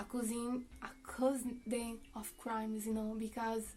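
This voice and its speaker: A woman speaks very slowly in a fairly high, dark, mellow voice. Her intonation is monotone and flat. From Brazil. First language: Portuguese. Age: 20s. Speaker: YouTuber and psychology student. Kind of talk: casual commentary vlog. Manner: halting, hesitant non-native speech.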